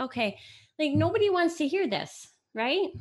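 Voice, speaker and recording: Quiet background behind a woman speaking. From US, to Italian immigrant parents. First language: Italian. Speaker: mother of host, store worker. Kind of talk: casual chat, storytelling.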